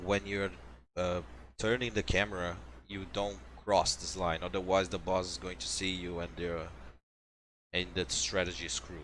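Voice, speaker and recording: On a very clean recording with a silent background, a man with a non-native accent speaks at a moderate pace in a very deep, low pitch. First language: not English. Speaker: video game speedrunner. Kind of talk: tutorial. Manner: casual, with fillers.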